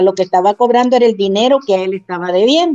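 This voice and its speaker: Over music in the background, a woman talks at a medium pitch with lively intonation. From Honduras, Santa Bárbara. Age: 60s. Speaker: mother of a detained man. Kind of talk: interview.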